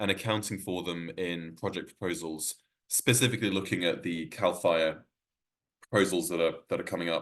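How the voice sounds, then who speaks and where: Against a quiet background, a man with a very deep, low pitch talks at a moderate pace. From Wales. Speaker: workshop presenter on environmental economics. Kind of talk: workshop presentation. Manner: hesitant, many fillers and restarts.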